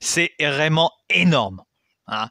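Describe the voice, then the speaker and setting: A man talks at a very slow pace in a fairly high pitch. The sound is dry and close, with no echo. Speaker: history YouTuber. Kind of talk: educational monologue. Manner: hesitant, many fillers; casual, colloquial.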